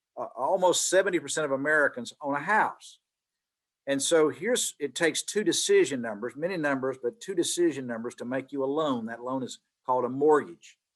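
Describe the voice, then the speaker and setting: In a Southern US accent, a man speaks at a fairly quick pace. His voice is fairly high, with ordinary pitch variation. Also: quiet background. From Mississippi, US South. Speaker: business executive, guest speaker. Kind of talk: guest lecture. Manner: repetitive stammering starts.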